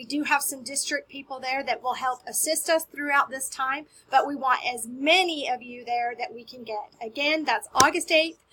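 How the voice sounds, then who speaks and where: Over noticeable background noise, a woman projects her high voice with an American accent and an upbeat tone. Her loudness swings a lot while her pitch varies in an ordinary way. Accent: Southern drawl, comes out occasionally. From US South. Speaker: school media specialist. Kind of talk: staff announcement. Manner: friendly, upbeat.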